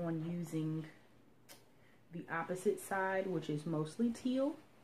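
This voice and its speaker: A woman whispers quietly and somewhat breathily at a fairly slow pace. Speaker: sewing vlogger. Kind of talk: casual tutorial-style vlog. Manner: whispering, quiet.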